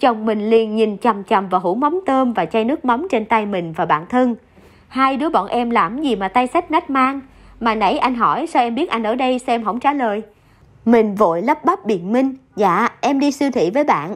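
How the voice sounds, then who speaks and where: In a quiet background, a woman with a fairly high pitch and a normal speaking voice talks at a moderate pace with lively intonation. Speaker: radio narrator reading listener stories. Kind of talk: reading aloud.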